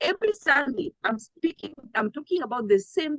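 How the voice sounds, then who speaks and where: A loud woman's voice, high in pitch, with a dry, close sound and no echo. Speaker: trading coach. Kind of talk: live trading town hall. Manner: animated.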